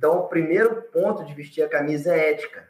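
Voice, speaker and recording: This man has a plain, everyday voice, pitched fairly high, and talks at a moderate pace. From Espírito Santo, Brazil (Alegre). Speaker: reforestation business founder. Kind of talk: live panel interview.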